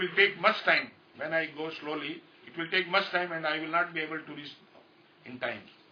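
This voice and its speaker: A man with fairly even intonation at a moderate pace, amid noticeable background noise. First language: Hindi. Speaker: spiritual teacher. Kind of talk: religious discourse. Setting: live talk recorded on a phone. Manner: halting. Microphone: phone recording.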